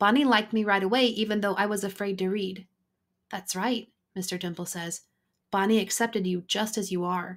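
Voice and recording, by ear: The surroundings are silent. The text is read aloud in a natural voice with fairly level intonation.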